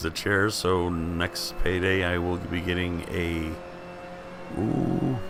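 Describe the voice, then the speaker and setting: A man with a very deep, low pitch speaks in an animated tone. Audible room echo and noticeable background noise surround him. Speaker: sim racing gamer. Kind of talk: gameplay commentary. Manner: casual, animated.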